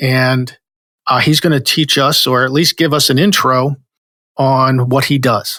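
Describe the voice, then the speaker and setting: With an American accent, a man speaks fairly slowly at a medium pitch in a bright, sharp tone, his intonation fairly even and his loudness very even. The recording is very clean with a silent background. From New Jersey. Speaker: podcast host, marketing company president. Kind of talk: podcast interview.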